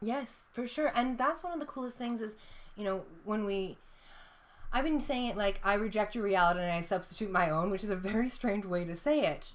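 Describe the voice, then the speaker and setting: The voice is loud, with a bright, sharp tone. It moves at a fairly quick pace with lively intonation. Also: woman. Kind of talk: casual chat.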